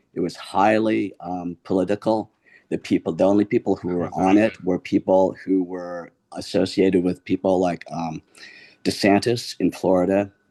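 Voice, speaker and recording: In a dry, close recording with no echo and a quiet background, a man speaks with a very deep, low pitch, a dark, mellow tone and fairly even intonation. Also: moderate pace. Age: 60s. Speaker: audience participant. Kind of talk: heated debate. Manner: halting.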